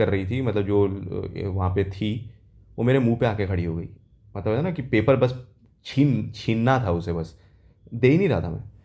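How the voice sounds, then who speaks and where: A man's fairly low voice with ordinary pitch variation and a moderate pace, amid audible room echo. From South India. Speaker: exam aspirant vlogger. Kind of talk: casual vlog, exam experience. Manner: hesitant, with fillers.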